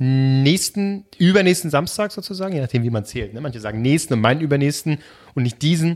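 Animated and fairly quick, a man speaks with a fairly high pitch. His intonation is lively. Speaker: podcast co-host. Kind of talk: casual chat.

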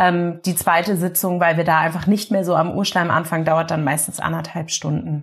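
Recorded very cleanly over a silent background, a woman with a fairly low, somewhat breathy voice speaks at a moderate pace with fairly even intonation and hardly any pauses. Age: 30s. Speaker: family constellation therapist. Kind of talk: interview.

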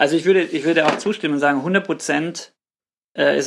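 A man with an ordinary speaking voice talks at a fairly quick pace. The recording is very clean, with a silent background. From Swabia, southern Germany. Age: 30s. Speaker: pastor. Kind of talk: casual chat.

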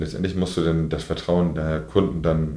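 The speech moves at a moderate pace with a northern German accent. Audible room echo surrounds it. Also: man. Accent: north German dialect. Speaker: fishmonger. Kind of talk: interview. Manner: mumbling.

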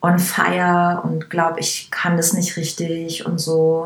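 Over noticeable background noise, a woman with a fairly low voice speaks at a very slow pace. Her intonation is monotone and flat. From Upper Bavaria, Germany. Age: 30s. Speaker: hairdresser and make-up artist. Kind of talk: casual interview.

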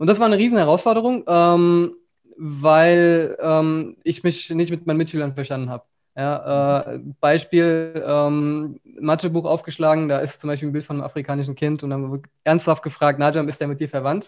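A man's unremarkable speaking voice, fairly high in pitch, with fairly even intonation at a moderate pace. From Germany, rural Upper Hesse. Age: 20s. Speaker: agency founder and entrepreneur. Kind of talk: casual interview.

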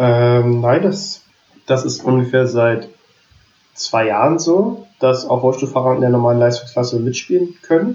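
A man's normal speaking voice, medium in pitch, at a fairly slow pace, with ordinary pitch variation and very even loudness. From Berlin. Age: 20s. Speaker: wheelchair tennis player and student. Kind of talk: casual interview. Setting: remote call.

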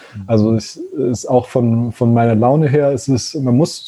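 A man with a medium pitch and a dark, mellow tone talks at a moderate pace. His delivery is somewhat breathy, with fairly even intonation. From Germany, Konstanz (Lake Constance). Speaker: zero-waste van traveller and content creator, former molecular biologist. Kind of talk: casual interview chat. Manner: halting, many fillers.

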